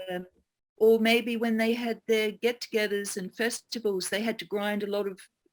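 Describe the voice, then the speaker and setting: A woman speaks with an Australian accent at a moderate pace. Her pitch is fairly high and her intonation is monotone and flat. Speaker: geomancer and teacher. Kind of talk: interview answer.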